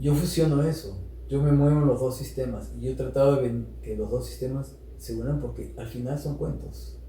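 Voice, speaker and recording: Noticeable background noise surrounds a man talking at a moderate speed. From Peru. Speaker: storyteller and social activist. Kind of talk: interview answer.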